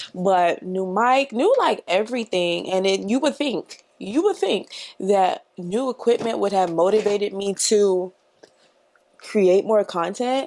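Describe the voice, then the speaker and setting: A woman's normal speaking voice at medium pitch, fairly slow, with ordinary pitch variation. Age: 20s. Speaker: beauty YouTuber. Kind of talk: casual chat while doing makeup. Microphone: new mic.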